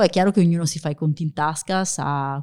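A woman with a very deep, low voice talks at a fairly quick pace with ordinary pitch variation. The recording is very clean, with a silent background. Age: 40s. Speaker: future-of-work author and employer branding manager. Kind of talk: interview. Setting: coworking space studio.

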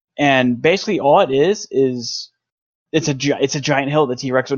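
A man with an American accent speaks in an ordinary speaking voice at medium pitch, keeping a moderate pace and ordinary pitch variation. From US South (North Georgia). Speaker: photographer. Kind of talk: casual chat.

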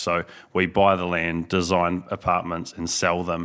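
A man with a New Zealand accent, very deep and low in pitch, bright and sharp in tone, flat and monotone, at a moderate pace in a very clean recording with a silent background. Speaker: business owner. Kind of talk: casual chat.

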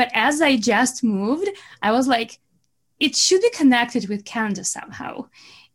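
A woman with a high voice speaks in a Russian accent. She keeps a moderate pace and uses lively intonation. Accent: Russian-sounding. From Belarus. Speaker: marketing business owner. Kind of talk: podcast interview.

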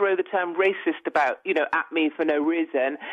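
Speaking fairly quickly, a woman talks with a British accent. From United Kingdom. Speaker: newspaper columnist. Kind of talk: interview. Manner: outspoken.

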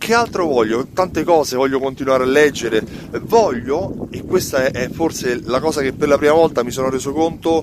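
Amid noticeable background noise, a man with a fairly high pitch and lively intonation speaks at a moderate pace. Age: 40s. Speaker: business owner and marketing vlogger. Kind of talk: solo video monologue. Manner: hesitant, with fillers.

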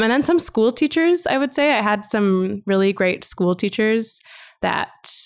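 With a Canadian accent and an unremarkable speaking voice, a woman speaks at a fairly high pitch with lively intonation. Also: very clean recording, silent background. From Western Canada. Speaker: arts curator and entrepreneur. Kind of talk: casual interview.

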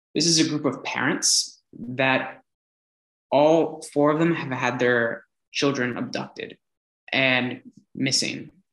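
Speaking very slowly with long, frequent pauses, a man with an American accent and a fairly high pitch keeps a fairly even intonation. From US, California Bay Area. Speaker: entrepreneur and public speaker. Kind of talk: interview. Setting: remote call.

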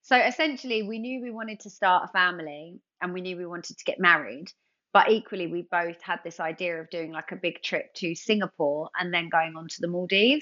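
A woman with a London accent talks at a fairly quick pace with hardly any pauses, ordinary pitch variation and big swings in loudness. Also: medium pitch for a woman. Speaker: TV presenter and former dancer. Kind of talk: casual interview chat.

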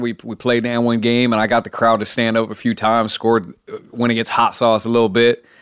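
A man with an American accent and a plain, everyday voice, medium-pitched and fairly quick, on a very clean recording with a silent background. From Oregon, US. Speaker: streetball player. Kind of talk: interview.

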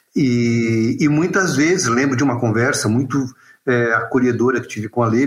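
This man's medium-pitched, somewhat breathy voice moves at a moderate pace with fairly even intonation. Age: 50s. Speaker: author and clown. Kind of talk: casual chat.

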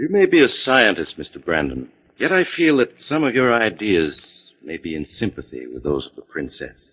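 A man puts on a character voice, low-pitched with big swings in pitch, a fairly bright tone with a slightly husky edge, at a moderate pace.

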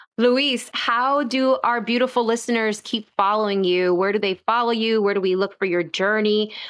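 A woman with a plain, everyday voice speaks at a moderate pace with hardly any pauses. Her pitch is fairly high, her intonation fairly even and her loudness very even. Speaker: podcast host. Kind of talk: interview conversation.

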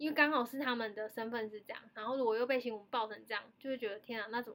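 Speaking at a fairly quick pace, a woman with a Taiwanese accent has a high pitch. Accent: Taiwanese Mandarin. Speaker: podcast host. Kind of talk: casual chat. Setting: remote online recording from home. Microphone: remote recording, odd sound quality with echo.

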